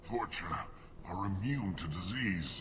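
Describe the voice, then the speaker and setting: A man's put-on character voice, fairly low-pitched and fairly slow, over loud background noise. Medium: video game. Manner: bitter, formal.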